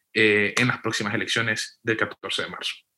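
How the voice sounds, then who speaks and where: A man with a bright, sharp tone talks at a moderate pace. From western Honduras. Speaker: podcast co-moderator, political analyst. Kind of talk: political analysis in panel discussion.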